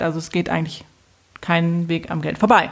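A woman's fairly low voice at a moderate pace. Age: 30s. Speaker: podcast host and financial coach. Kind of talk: casual chat.

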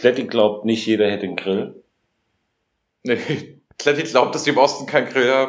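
The voice has ordinary pitch variation and long, frequent pauses. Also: man, medium pitch for a man, moderate pace. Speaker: podcast host. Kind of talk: casual chat. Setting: hotel room.

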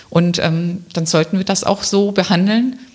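With noticeable background noise behind her, a woman speaks in a medium pitch at a fairly slow pace. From Swabia (Remstal near Stuttgart), Germany. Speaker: local politician, council candidate. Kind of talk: interview. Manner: hesitant, many fillers.

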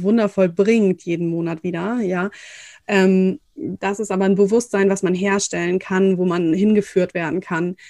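A plain, everyday voice from a woman at medium pitch, fairly slow and fairly even in intonation, on a very clean recording with a silent background. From northern Germany. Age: 30s. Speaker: fertility coach. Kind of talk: interview.

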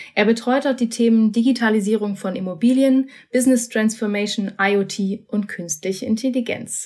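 With a plain, everyday voice, a woman speaks at a fairly high pitch and fairly even intonation. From Berlin. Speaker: podcast host. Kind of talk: interview; scripted intro. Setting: remote recording.

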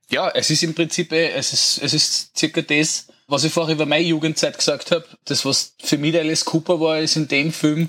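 This man has an unremarkable speaking voice, pitched fairly high. He talks at a moderate pace. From Austria, Lower Austria. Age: 40s. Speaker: rock band singer. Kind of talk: casual chat.

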